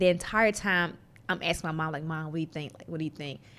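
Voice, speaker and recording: With a Southern US accent, a woman talks in fairly even intonation. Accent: Southern drawl. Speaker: tech entrepreneur. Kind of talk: interview conversation.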